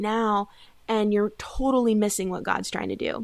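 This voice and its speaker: A woman speaks at a moderate pace with fairly high pitch and monotone, flat intonation. The recording is very clean, the background silent. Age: 20s. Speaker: life coach. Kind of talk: casual chat.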